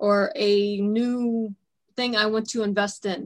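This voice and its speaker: Recorded very cleanly against a silent background, a woman with a fairly high voice uses fairly even intonation in a normal speaking voice. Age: 30s. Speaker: radio host. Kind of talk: interview.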